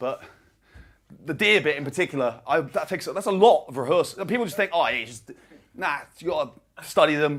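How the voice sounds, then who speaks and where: A man talks at a fairly quick pace with long, frequent pauses. His loudness swings widely. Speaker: stand-up comedian. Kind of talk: stand-up. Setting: stage with audience. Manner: fast.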